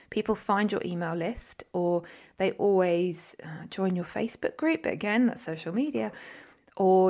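An unremarkable speaking voice at a moderate pace with ordinary pitch variation comes through in a very clean recording with a silent background. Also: woman. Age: 40s. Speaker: podcast host and coach. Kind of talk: solo podcast monologue.

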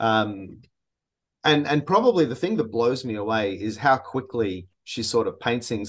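Against a quiet background, a man with an Australian accent speaks at a fairly slow pace. His pitch is medium, with ordinary pitch variation. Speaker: metal musician. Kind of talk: interview. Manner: hesitant, many fillers.

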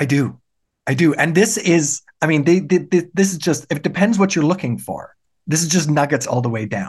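At a fairly quick pace, a man with a fairly high pitch talks with lively intonation and vocal fry. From Germany. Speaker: political science professor. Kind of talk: casual interview. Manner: articulate, fluent.

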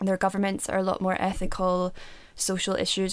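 A woman's medium-pitched voice at a moderate pace. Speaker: podcast co-host. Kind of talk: casual chat.

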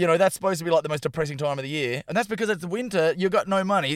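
Talking very fast, a man with an Australian accent has a high pitch and ordinary pitch variation. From Western Australia (Perth). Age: 30s. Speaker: stand-up comedian. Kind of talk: casual chat.

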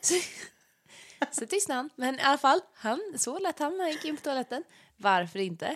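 A woman with a high pitch speaks at a moderate pace, with very wide pitch swings and long, frequent pauses. The sound is dry and close, with no echo. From Småland, Sweden. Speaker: singer and podcast co-host. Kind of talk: casual chat. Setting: at a friend's home.

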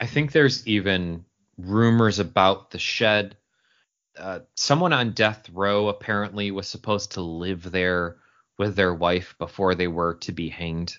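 In an American accent, a man with an ordinary speaking voice talks at a fairly slow pace, his fairly low pitch showing ordinary variation. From Upstate New York (Syracuse). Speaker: podcast co-host. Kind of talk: paranormal podcast conversation with scripted segments.

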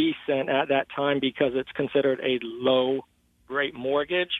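Speaking at a fairly slow pace, a man has an unremarkable speaking voice with a fairly high pitch. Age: 30s. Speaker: caller to a finance call-in show. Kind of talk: call-in question.

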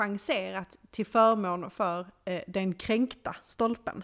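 Fairly even intonation from a woman with a medium pitch. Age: 30s. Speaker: podcast co-host. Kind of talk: casual chat.

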